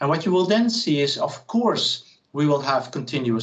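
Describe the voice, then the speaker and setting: Speaking fairly quickly at a fairly high pitch, a man uses lively intonation over noticeable background noise. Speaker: professor. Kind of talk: lecture. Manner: fast.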